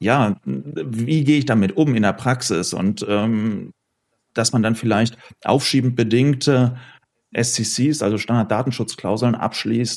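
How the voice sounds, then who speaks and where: A man's plain, everyday voice at a medium pitch, fairly slow, with ordinary pitch variation, very even loudness and a very clean recording over a silent background. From Ruhr area, Oberhausen. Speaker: law professor. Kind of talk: panel discussion.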